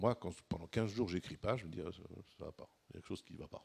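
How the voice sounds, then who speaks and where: This man's voice is somewhat breathy. He talks at a very fast pace. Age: 60s. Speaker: writer and economist. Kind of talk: panel debate. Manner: halting.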